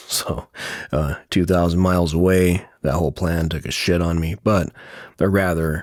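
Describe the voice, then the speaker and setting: A soft-spoken man talks with a very deep, low voice. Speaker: video creator. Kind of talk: casual monologue vlog. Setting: quiet room while traveling. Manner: halting, many fillers.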